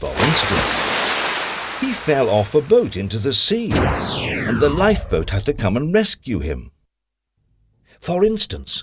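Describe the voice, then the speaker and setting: This man's delivery comes at a fairly slow pace. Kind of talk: children's story narration. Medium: cartoon.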